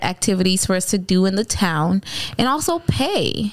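A woman's normal speaking voice at a medium pitch, with ordinary pitch variation. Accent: American. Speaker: podcast host. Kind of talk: casual banter podcast.

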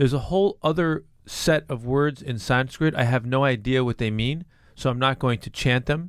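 The recording is very clean, with a silent background. A man speaks in a plain, everyday voice at medium pitch, with ordinary pitch variation and a moderate pace. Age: 50s. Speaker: juice bar founder. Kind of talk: casual chat.

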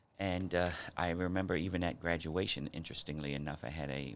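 Speaking at a moderate pace in a very deep, low voice, a man with an American accent shows vocal fry and ordinary pitch variation. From New York City and South Jersey. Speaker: pastor and nonprofit director. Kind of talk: casual interview.

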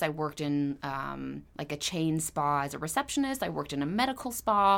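On a very clean recording with a silent background, a woman with a Californian accent speaks at a moderate pace with very wide pitch swings. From Southern California, Ventura County. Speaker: esthetician and spa owner. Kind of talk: interview conversation. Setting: her skincare studio.

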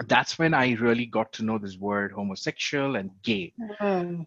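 Over a quiet background, a man with an Indian accent speaks at medium pitch and a moderate pace, in a dry, close sound with no echo. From India, Karnataka. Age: 30s. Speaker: LGBTQ advocate. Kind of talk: interview.

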